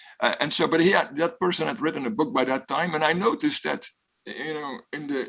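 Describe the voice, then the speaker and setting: Here a man with a Flemish accent speaks at a fairly quick pace. His voice sits fairly high and carries vocal fry. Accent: Belgian (Flemish) English. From Belgium. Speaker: professor. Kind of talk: guest talk with Q&A.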